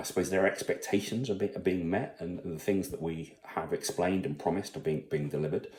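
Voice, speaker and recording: Speaking very fast with hardly any pauses, a man with a British accent and a very deep, low pitch keeps his intonation lively. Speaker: salesperson and father vlogger. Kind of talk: personal vlog monologue. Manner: halting, many fillers.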